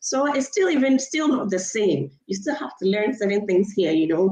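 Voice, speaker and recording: With a non-native accent, the speaker talks at a fairly quick pace in a dark, mellow tone with lively intonation. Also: woman. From Ghana. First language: not English. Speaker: livestream host. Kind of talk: casual chat. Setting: live stream.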